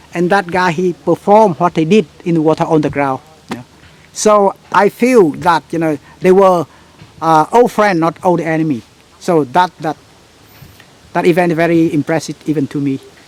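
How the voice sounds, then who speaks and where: At a moderate pace with long, frequent pauses, a high-pitched man speaks with ordinary pitch variation in a dry, close recording with no echo but noticeable background noise. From central Vietnam. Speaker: tour guide. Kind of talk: interview. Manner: halting.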